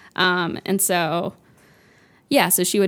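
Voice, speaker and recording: A woman with an American accent talks at a fairly low pitch, with vocal fry. The recording is very clean, with a silent background. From US South, Florida. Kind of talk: casual chat.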